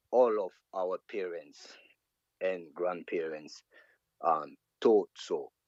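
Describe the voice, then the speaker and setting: Recorded with a dry, close sound and no echo, a man speaks with a Martinique accent. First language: Martinican Creole. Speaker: reggae artist and saxophonist. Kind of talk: interview. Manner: halting.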